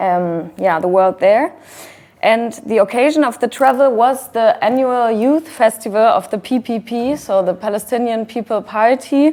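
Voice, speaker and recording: Here a woman with a German accent talks at a moderate pace, her fairly high pitch carried by lively intonation. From Germany. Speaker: activist. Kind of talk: talk with slides. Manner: hesitant.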